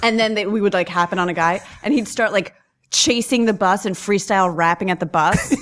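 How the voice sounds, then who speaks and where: A woman's plain, everyday voice with an American accent, medium in pitch, ordinary in pitch variation, fairly quick in pace and very even in loudness. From New York. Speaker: comedic actress and stand-up comedian. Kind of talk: casual interview storytelling.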